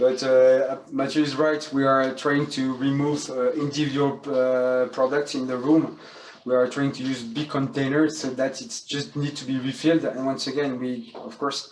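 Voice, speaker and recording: Over noticeable background noise, a man with a French accent speaks at a moderate pace and medium pitch, flat and monotone, with hardly any pauses. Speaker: hotel school general manager. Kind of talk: guided tour. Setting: hotel room.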